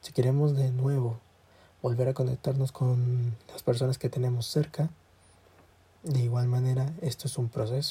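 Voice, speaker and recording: A man with a medium pitch and a dark, mellow, somewhat breathy tone speaks at a moderate pace in monotone, flat intonation, with long, frequent pauses. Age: 20s. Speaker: student podcaster. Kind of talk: casual solo monologue. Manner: halting.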